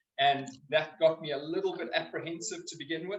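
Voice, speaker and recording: In a South African accent, a man speaks high for a man at a moderate pace. His pitch variation is ordinary. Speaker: biokinetics practitioner. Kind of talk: public talk.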